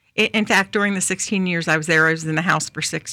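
In an American accent, the voice sounds bright and sharp with vocal fry and a monotone, flat intonation, on a very clean recording with a silent background. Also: woman. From New York City. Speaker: former state senator. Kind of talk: casual chat.

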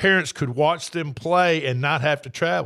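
Here a man with a Tennessee accent speaks at a fairly high pitch. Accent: US Southern (Tennessee). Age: 60s. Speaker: sports radio host. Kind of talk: casual sports talk. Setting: studio.

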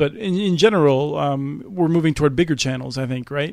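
This man has an ordinary speaking voice. His pitch is fairly high, with ordinary variation. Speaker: podcast host. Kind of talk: interview.

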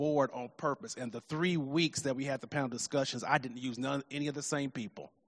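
A man with a normal speaking voice, a fairly high pitch and fairly even intonation, in a dry, close sound with no echo. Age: 50s. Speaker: pastor. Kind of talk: sermon.

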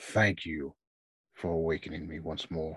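Using a put-on character voice, a man speaks in a raspy, very deep, low pitch.

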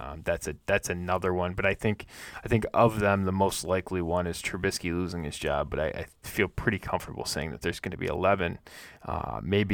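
A man with a very deep, low voice and vocal fry is heard on a very clean recording with a silent background. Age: 30s. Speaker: fantasy football podcast host. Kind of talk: solo podcast monologue. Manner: halting, many filler words.

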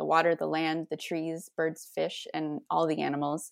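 A plain, everyday voice at a moderate pace on a very clean recording with a silent background. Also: woman. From Ontario, Canada (St. Catharines). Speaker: church member, reconciliation team volunteer. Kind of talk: casual interview.

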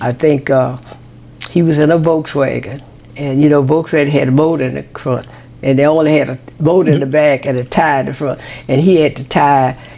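Over noticeable background noise, a woman with an American accent speaks at a fairly quick pace in a very deep, low pitch. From Louisiana, US South. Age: 90s. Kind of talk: casual interview chat. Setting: at her home. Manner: lively, energetic, playful.

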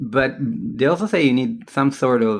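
A man's medium-pitched voice with vocal fry and lively intonation, at a moderate pace. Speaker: podcast host. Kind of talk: casual interview.

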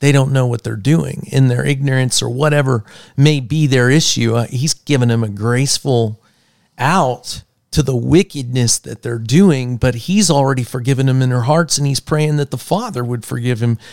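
In an American accent, a man speaks at a moderate pace with a medium pitch and ordinary pitch variation. The sound is dry and close, with no echo. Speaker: podcast co-host. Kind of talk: casual chat. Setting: studio. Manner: animated.

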